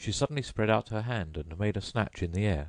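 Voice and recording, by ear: Words are read aloud here. A natural voice carries them.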